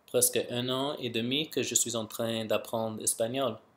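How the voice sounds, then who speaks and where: The recording is very clean, with a silent background. A man with an English accent speaks at a medium pitch. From Canada, Vancouver. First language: English (speaking French). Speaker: YouTuber, language learner. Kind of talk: casual vlog monologue. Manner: halting.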